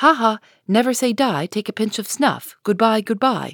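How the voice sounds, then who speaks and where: A put-on character voice, female-sounding and fairly high, moves at a moderate pace on a very clean recording with a silent background. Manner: squawking.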